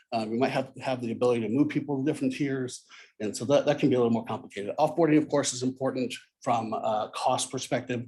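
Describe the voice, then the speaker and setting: At a very fast pace, a man with a medium pitch and a dark, mellow tone keeps a fairly even intonation. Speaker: conference speaker, software architect. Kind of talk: conference talk.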